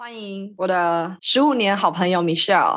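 Pitch varies in an ordinary way. The delivery is very fast. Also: woman. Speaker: podcast host. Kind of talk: casual chat; scripted intro. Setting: video call.

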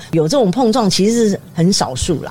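Amid noticeable background noise, a woman talks at a fairly quick pace with very wide pitch swings. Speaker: retired TV news director. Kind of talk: casual interview chat.

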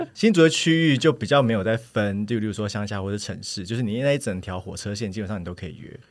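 This man talks very fast at a fairly low pitch, with lively intonation. His loudness swings in big ways. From Taiwan, Hsinchu (Hakka family). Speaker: podcast guest. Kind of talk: casual chat.

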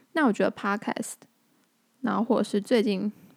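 Dry and close with no echo, a woman speaks at a fairly high pitch. Her pitch varies in an ordinary way. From Tainan, Taiwan (Anping). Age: 20s. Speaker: podcast host. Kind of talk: casual monologue.

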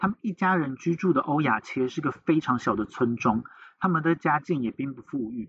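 At a moderate pace, a man speaks in a fairly high pitch with lively intonation. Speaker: podcast host. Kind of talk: true crime storytelling.

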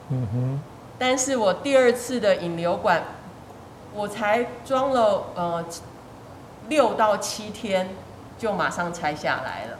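Speaking at a very slow pace with long, frequent pauses, a woman of medium pitch uses very wide pitch swings amid noticeable background noise and audible room echo. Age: 50s. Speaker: fitness student sharing surgery recovery story. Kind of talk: interview testimony.

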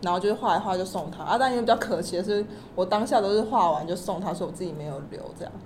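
A woman speaks at a very fast pace and a medium pitch, with ordinary pitch variation and big swings in loudness, amid noticeable background noise and audible room echo. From Taiwan. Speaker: illustrator. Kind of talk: interview.

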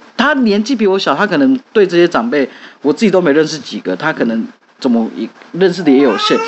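With noticeable background noise behind him, a man talks at a fairly quick pace in a high pitch with very wide pitch swings. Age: young. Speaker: podcast host. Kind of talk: casual chat.

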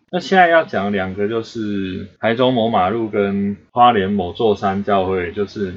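A man speaks in a Taiwanese accent. His pitch is fairly low and varies in an ordinary way. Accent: Taiwanese Mandarin. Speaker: podcast host. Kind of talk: casual chat.

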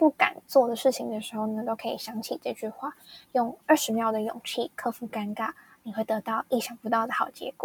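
With an unremarkable speaking voice, a woman talks at a fairly quick pace and fairly high pitch, the sound dry and close with no echo. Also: ordinary pitch variation. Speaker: podcast host. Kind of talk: casual storytelling monologue.

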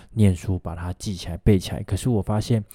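With a Taiwanese accent, a man speaks at a fairly quick pace and fairly low pitch, his dark, mellow tone and fairly even intonation captured in a dry, close, very clean recording with a silent background. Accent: Taiwanese Mandarin. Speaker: physical therapist podcast host. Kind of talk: solo podcast monologue. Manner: casual, many fillers.

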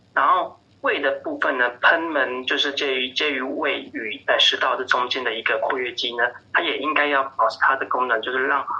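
At a moderate pace, the talking carries on with noticeable background noise underneath. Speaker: pediatrician. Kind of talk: interview. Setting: phone call. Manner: hesitant, many fillers.

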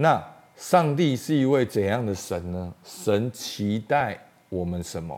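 A man speaks at a very slow pace with a fairly low pitch and very wide pitch swings. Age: 40s. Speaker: pastor. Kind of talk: sermon.

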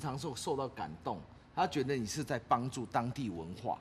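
Somewhat breathy and moderate in pace, a man talks with very wide pitch swings. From Taiwan, Taitung. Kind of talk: casual chat. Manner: animated, many fillers and laughs.

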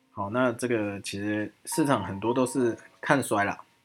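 A man with a Taiwanese accent talks at a moderate pace and a medium pitch. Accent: Taiwanese Mandarin. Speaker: stock market podcast host. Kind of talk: market analysis monologue. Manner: many filler sounds.

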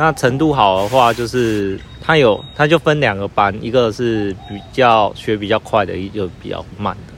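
A man's voice with hardly any pauses and big swings in loudness, over noticeable background noise. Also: medium pitch for a man, ordinary pitch variation, fairly slow pace. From Taiwan. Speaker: student living abroad. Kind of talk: interview. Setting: outdoors in a park. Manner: halting.

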